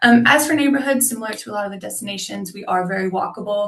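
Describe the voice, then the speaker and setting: With an American accent, a woman speaks at a fairly quick pace in a medium pitch with ordinary pitch variation. It is an unremarkable speaking voice. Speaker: tourism representative. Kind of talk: webinar presentation. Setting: video call. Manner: many filler words (um, uh).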